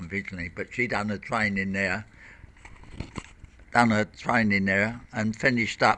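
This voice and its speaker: A man's voice is fairly low with a bright, sharp tone. He keeps a moderate pace and fairly even intonation. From southeast London. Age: 70s. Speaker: local resident. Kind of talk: oral history interview. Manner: halting.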